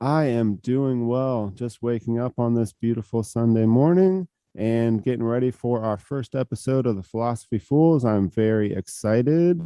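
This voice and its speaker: At a moderate pace with hardly any pauses, a man speaks with ordinary pitch variation. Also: medium pitch for a man. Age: 30s. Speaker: podcast co-host, personal trainer. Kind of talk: casual chat. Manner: halting.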